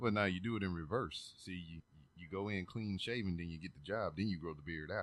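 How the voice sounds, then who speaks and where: This voice carries a slight Southern US accent, ordinary pitch variation and big swings in loudness. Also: man, very deep, low pitch for a man. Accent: slight Southern drawl. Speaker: podcast host. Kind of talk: casual chat. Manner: mumbling.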